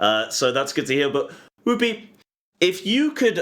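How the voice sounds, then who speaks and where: A man speaks in a British accent at a moderate pace. His pitch swings very widely. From Britain. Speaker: esports caster. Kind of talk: post-match interview.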